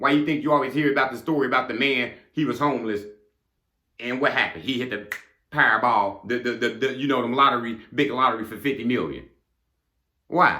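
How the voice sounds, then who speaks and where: A man with a medium pitch and a bright, sharp tone speaks at a fairly quick pace, with audible room echo. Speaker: motivational speaker. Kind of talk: motivational monologue. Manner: fast; animated.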